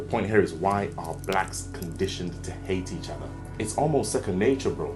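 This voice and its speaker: A man with a non-native accent is heard with music in the background and audible room echo. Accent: non-native English, noticeable. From Nigeria. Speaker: self-improvement YouTuber. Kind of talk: opinion monologue. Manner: animated, rhetorical.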